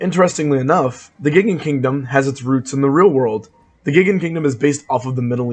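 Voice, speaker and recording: A man's somewhat breathy voice of medium pitch, with ordinary pitch variation. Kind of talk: video game lore narration. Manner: casual, conversational.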